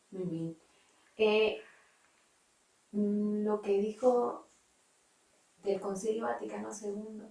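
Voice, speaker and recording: A woman's very slow, somewhat breathy voice, medium in pitch, with a dark, mellow tone, monotone, flat intonation and long, frequent pauses. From Nicaragua. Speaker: interviewer. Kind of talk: interview questions.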